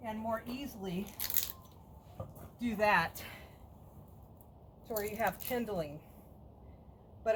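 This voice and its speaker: A woman speaks at a fairly slow pace, her medium pitch moving with ordinary variation. There is noticeable background noise. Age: 60s. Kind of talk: casual talk while working.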